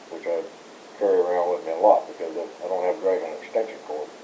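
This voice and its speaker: Talking very fast in an American accent, a man is heard over noticeable background noise. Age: 60s. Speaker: former scouting staff member. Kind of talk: oral history interview. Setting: recorded interview. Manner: hesitant, many fillers.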